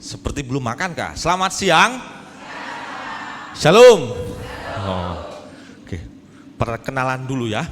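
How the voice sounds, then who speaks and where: A man speaks fairly slowly at medium pitch with very wide pitch swings, big swings in loudness and long, frequent pauses, in a room with audible echo and noticeable background noise. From Indonesia, rural Jambi, Sumatra. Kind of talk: sermon. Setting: church hall with audience. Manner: animated, joking.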